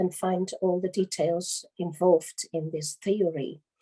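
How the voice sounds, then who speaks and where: A woman with a Dutch accent at medium pitch and a fairly slow pace, in a dry, close sound with no echo. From Netherlands. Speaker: lecturer on giftedness and education. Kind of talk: conference lecture. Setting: conference. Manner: halting, many fillers.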